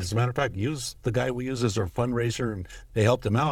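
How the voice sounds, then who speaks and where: In a very clean recording with a silent background, a man with a medium-pitched, somewhat breathy voice talks at a very fast pace. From US West Coast, East Los Angeles. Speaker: gun rights advocacy executive. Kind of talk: casual interview over whiskey.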